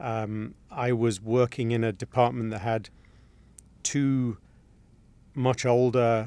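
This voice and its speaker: This man's voice sits at a medium pitch. He speaks fairly slowly, with monotone, flat intonation. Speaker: engineering firm president. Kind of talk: interview. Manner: hesitant, many fillers and repeats.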